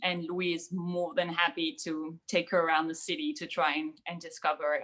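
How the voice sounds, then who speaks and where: She speaks with a French accent in a bright, sharp tone. Her pitch varies in an ordinary way. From France, outside Paris. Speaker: young adult author. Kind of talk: panel discussion.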